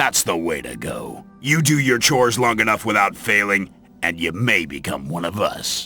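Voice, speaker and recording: A man's put-on character voice with faint music in the background. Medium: video game. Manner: gruff, sardonic, condescending.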